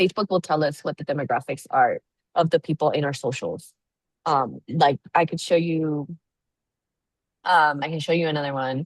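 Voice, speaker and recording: At a moderate pace, a woman with a very deep, low voice speaks in fairly even intonation with long, frequent pauses, the sound dry and close with no echo. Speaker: nonprofit consultant. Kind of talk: webinar presentation Q&A. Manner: casual, filler-heavy.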